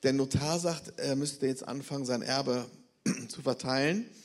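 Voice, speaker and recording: A man with an ordinary speaking voice talks at a moderate pace with lively intonation. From Bremen, northern Germany. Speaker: missionary. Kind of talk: testimony. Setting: church service.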